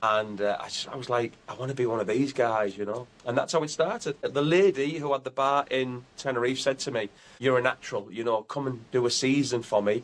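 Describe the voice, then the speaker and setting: A man with a Teesside accent talks at a fairly quick pace with hardly any pauses. His pitch is medium, with ordinary variation. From north-east England, Teesside (Billingham). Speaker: comedian, tribute act. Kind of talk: interview.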